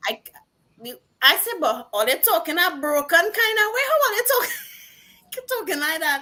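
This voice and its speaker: A woman with a strong Trinidadian accent projects a raised, bright, sharp voice at an extremely high pitch with very wide pitch swings, keeping a moderate pace broken by long, frequent pauses. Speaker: singer-songwriter. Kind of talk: interview.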